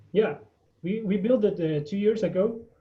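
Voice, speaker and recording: This man talks with a Spanish accent at a moderate pace. His pitch varies in an ordinary way. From Guatemala. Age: 20s. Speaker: coffee farmer. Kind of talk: presentation on video call. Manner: halting, many fillers.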